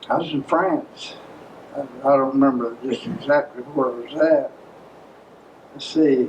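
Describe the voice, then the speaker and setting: A man with an Appalachian accent, fairly high in pitch, at a fairly slow pace with long, frequent pauses, big swings in loudness and noticeable background noise. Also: ordinary pitch variation. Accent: Southern Appalachian American English. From Maryville, Tennessee, USA. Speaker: World War II veteran. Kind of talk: interview answer.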